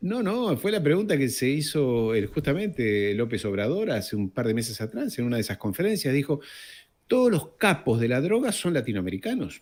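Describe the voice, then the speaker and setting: On a very clean recording with a silent background, a man of medium pitch talks at a fairly quick pace with very wide pitch swings. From France, later Argentina. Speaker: geopolitics commentator. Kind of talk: casual interview conversation.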